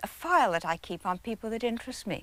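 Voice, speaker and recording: The speaker talks at a moderate pace with an English accent. The pitch swings are very wide. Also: woman. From England. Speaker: biographer. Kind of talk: interview answer. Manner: soft-spoken.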